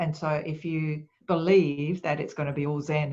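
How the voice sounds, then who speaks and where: This woman speaks with a very deep, low pitch. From Japan. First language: Japanese. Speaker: speaker and author on quiet leadership. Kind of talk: webinar Q&A. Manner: calm, soft-spoken.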